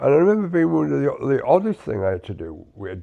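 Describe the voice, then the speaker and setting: Very wide pitch swings mark a man speaking at a very fast pace. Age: 60s. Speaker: podcast co-host, army veteran. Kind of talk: casual chat. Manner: halting, many repetitions.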